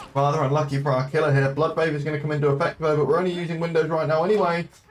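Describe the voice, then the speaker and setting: Noticeable background noise surrounds a man speaking at a fairly high pitch. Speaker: esports caster. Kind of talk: live commentary. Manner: hesitant with filler sounds.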